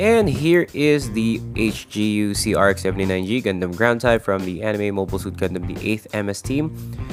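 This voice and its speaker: The speech moves at a moderate pace with hardly any pauses while music plays in the background. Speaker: model kit reviewer. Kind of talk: casual product review narration.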